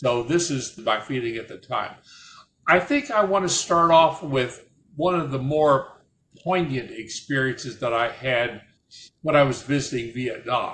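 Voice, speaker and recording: The speech comes in a Midwestern accent at a fairly slow pace. Pitch variation is ordinary. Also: man, fairly high pitch for a man. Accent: American Midwestern. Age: 80s+. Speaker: war veteran. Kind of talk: personal storytelling. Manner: halting, repeats words.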